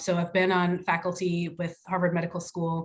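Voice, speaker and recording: A woman speaks in a fairly low, somewhat breathy voice with monotone, flat intonation. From Jamaica. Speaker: psychiatrist. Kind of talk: self-introduction in panel discussion. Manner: halting, many fillers.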